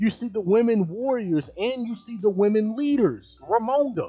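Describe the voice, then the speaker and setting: Speech at a fairly slow pace with ordinary pitch variation, set over music in the background. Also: man. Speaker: video commentator. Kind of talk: live video commentary. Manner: animated.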